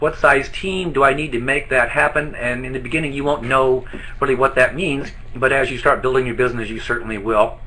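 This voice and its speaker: A man with a fairly high voice talks fairly quickly, his pitch varying in an ordinary way, while noticeable background noise carries on behind him. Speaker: network marketing trainer. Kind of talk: webinar training presentation. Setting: live online broadcast from an office. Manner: fast.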